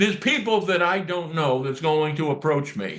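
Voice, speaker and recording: At a fairly slow pace, a man speaks with lively intonation and an animated, bright, sharp tone. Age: 70s. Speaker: whistleblower. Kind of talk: casual chat.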